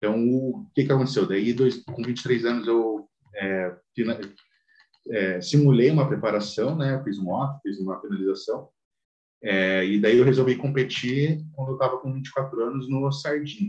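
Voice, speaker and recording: A man talks at a moderate pace at a medium pitch with ordinary pitch variation. It is a plain, everyday voice. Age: 20s. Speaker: amateur bodybuilder. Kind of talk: casual chat.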